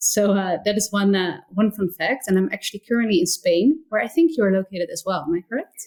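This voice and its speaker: With a slight Dutch accent, a woman talks at a fairly quick pace, with hardly any pauses and lively intonation. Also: medium pitch for a woman. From Netherlands, near Rotterdam. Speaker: entrepreneur, community founder. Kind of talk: interview conversation.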